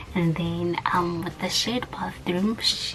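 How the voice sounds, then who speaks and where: The voice is soft-spoken and moves at a moderate pace. There is noticeable background noise. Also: woman. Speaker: vlogger, student abroad. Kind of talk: casual vlog tutorial. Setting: small room at home, neighbors nearby.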